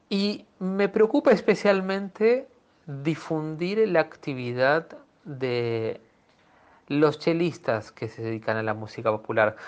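A man speaks at a very slow pace with a fairly high pitch. His pitch swings very widely. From Peru. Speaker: cellist. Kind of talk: interview.

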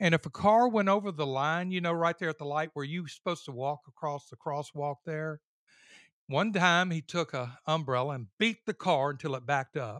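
In a Louisiana accent, a man speaks at a moderate pace and a fairly high pitch with ordinary pitch variation, the sound dry and close with no echo against a quiet background. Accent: Southern US (Louisiana). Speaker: father of the hosts. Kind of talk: casual chat.

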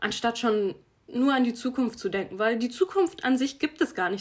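A woman speaks in a fairly high pitch with an animated tone. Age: 20s. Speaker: podcast host, athlete. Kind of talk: casual solo podcast talk.

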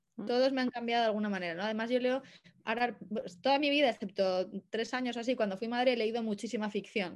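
A woman talks very fast at a fairly high pitch with ordinary pitch variation, on a very clean recording with a silent background. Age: 20s. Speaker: astrologer and photographer. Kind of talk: interview conversation.

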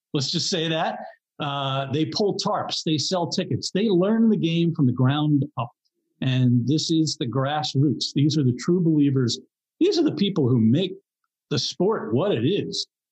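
A man's fairly high, somewhat breathy voice, with lively intonation at a fairly slow pace. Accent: American. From New York area. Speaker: graphic designer. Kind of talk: casual chat.

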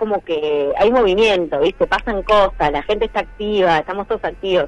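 Amid noticeable background noise, a woman speaks at a medium pitch and a moderate pace with lively intonation. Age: 40s. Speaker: comedian. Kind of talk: casual chat.

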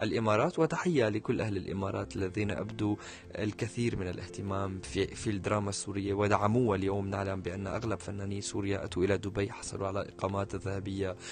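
Somewhat breathy speech at a fairly quick pace, with fairly even intonation and hardly any pauses. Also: man, fairly low pitch for a man. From Syria. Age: 20s. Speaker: media presenter and journalist. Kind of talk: interview conversation.

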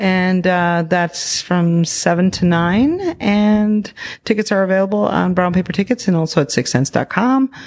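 In an American accent, a woman speaks with an ordinary speaking voice at a medium pitch and ordinary pitch variation. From Arizona, Phoenix area. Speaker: comedy troupe performer. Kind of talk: casual chat. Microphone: held too far from mouth.

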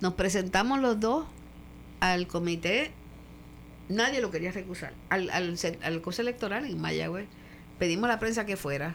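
A woman speaks at a medium pitch and a moderate pace. Her voice has vocal fry. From Puerto Rico (Caguas), raised abroad mostly in Europe with military father. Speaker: retired politician and doctor. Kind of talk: interview, life story.

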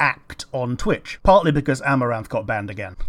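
A man speaks in a medium-pitched voice. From Yorkshire, England. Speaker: podcast host. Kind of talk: casual chat.

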